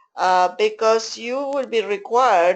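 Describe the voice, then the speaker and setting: With an Argentine accent, a woman speaks at a fairly high pitch with lively intonation over a quiet background. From Argentina. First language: Spanish. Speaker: interpreter trainer. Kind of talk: online training session.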